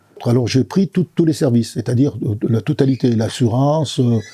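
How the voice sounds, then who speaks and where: A man speaks at a moderate pace in a somewhat breathy voice with a dark, mellow tone. The sound is dry and close, with no echo. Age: 70s. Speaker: customer giving a testimonial. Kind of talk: testimony. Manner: halting.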